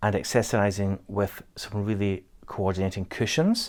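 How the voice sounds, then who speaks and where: On a very clean recording with a silent background, a man with a Scottish accent talks at a fairly slow pace with fairly low pitch. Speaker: interior designer. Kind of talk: home tour walkthrough.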